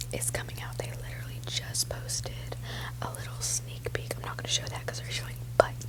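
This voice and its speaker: A woman whispers at a very fast pace, her loudness swinging widely. Noticeable background noise runs underneath. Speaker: ASMR creator. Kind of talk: casual ASMR ramble. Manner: whispered.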